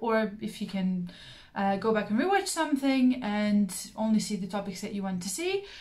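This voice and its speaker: Her voice somewhat breathy and medium in pitch, a woman speaks at a moderate pace with audible room echo. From Belarus. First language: Russian. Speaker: craft YouTuber. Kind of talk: casual vlog monologue. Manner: frequent filler words (um, uh).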